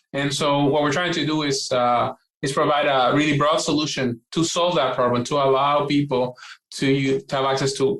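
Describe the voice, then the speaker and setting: Speaking with a Puerto Rican accent, a man with a fairly high pitch talks at a moderate pace. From Puerto Rico. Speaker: quantum computing scientist. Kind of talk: interview. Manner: hesitant, many fillers and restarts.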